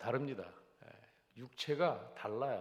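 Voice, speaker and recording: There is audible room echo as a man talks at a very slow pace. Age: 70s. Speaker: pastor. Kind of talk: sermon. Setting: church.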